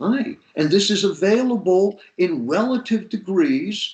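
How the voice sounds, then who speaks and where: A man's high-pitched voice, fairly slow and with lively intonation. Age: 70s. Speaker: podcast co-host, older man sharing life wisdom. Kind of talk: casual chat. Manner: animated.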